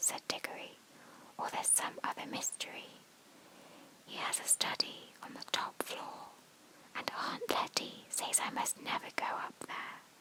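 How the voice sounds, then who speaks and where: Whispering comes at a fairly slow pace with long, frequent pauses and noticeable background noise. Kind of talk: whispered audiobook-style reading for sleep (bedtime story). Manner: whispered, soft.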